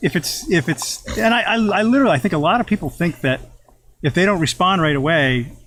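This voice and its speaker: A man talks at a fairly quick pace with very even loudness and very wide pitch swings. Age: 60s. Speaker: business owner. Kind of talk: casual interview chat. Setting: sitting in a hot tub.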